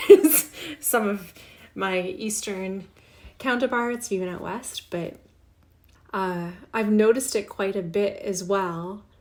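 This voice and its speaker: A woman with a slight Canadian accent, medium in pitch, very slow, with long, frequent pauses, big swings in loudness and ordinary pitch variation. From Canada. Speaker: podcast host, humorist. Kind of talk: casual podcast monologue.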